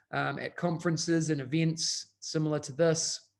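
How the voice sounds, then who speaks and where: Over a silent background in a very clean recording, a man with a New Zealand accent talks at a moderate pace, his fairly high pitch held in a monotone, flat intonation. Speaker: educational technology consultant. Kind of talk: conference presentation.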